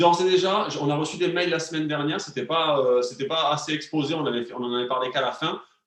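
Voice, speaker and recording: A man's fairly high voice at a very fast pace, with audible room echo. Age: 30s. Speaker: wellness and nutrition coach. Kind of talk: live cooking class stream. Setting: online live stream with chat. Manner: animated, hesitant with many fillers.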